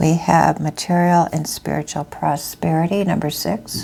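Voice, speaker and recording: Fairly slow speech from a woman, with noticeable noise behind it. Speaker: tarot reader. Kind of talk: tarot reading. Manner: halting.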